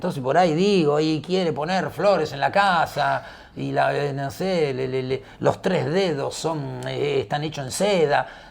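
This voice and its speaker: A man with an Argentine accent and a fairly high pitch, ordinary pitch variation, hardly any pauses, and noticeable background noise. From Argentina, Buenos Aires. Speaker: football commentator, former footballer. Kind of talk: casual interview chat. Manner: animated, theatrical; halting, repetitive.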